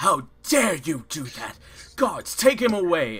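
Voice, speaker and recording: A man uses a put-on character voice at a high pitch. He speaks fairly slowly with very wide pitch swings. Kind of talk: imperious, formal. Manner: angry, commanding, outraged.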